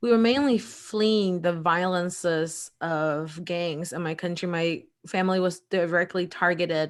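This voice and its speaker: In a very clean recording with a silent background, a woman with an ordinary speaking voice talks at a fairly slow pace and a fairly low pitch, with ordinary pitch variation and hardly any pauses. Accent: American. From El Salvador, then US Midwest (Indiana). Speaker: lawyer and entrepreneur. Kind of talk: interview.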